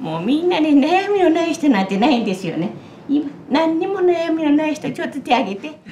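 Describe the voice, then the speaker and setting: A woman's high pitch with very wide swings, amid audible room echo and light background noise. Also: fairly quick pace. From Tokushima, Japan. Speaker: novelist and Buddhist nun. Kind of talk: Buddhist sermon. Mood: warm, playful. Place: hall.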